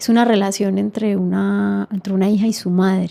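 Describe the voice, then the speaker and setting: This woman's voice sits at a medium pitch and has a dark, mellow tone. She talks at a moderate pace. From Colombia. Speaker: filmmaker. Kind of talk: interview.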